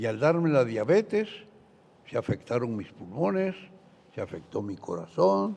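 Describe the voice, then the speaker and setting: A man with a medium pitch speaks at a fairly slow pace, his voice swinging very widely in pitch. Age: 90s. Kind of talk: religious talk show Q&A.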